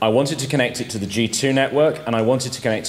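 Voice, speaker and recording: A man in an English accent, over noticeable background noise. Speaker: amateur radio presenter. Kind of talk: technical talk. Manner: halting.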